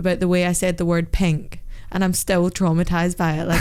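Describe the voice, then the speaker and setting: A woman's fairly low pitch in a monotone, flat intonation. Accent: Scottish. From Scotland.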